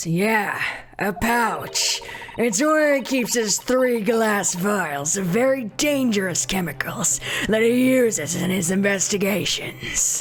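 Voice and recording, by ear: A female-sounding, put-on character voice at medium pitch. It moves at a fairly slow pace.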